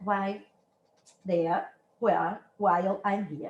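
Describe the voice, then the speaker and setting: At a fairly slow pace, a woman with a Brazilian accent speaks at a medium pitch. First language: Brazilian Portuguese. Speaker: dance researcher and university lecturer. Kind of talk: academic lecture. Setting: lecture room, hybrid online and in person. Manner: halting, with self-corrections.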